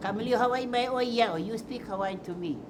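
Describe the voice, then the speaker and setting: A woman's fairly high voice with lively intonation at a fairly quick pace, over noticeable background noise. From Hawaii (Molokaʻi and Oʻahu). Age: 80s+. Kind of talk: documentary interview, personal storytelling.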